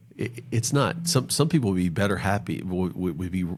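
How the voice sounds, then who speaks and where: Vocal fry, very wide pitch swings and a fairly quick pace. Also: man. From North Carolina, US South. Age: 40s. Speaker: financial planner. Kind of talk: podcast interview. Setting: podcast.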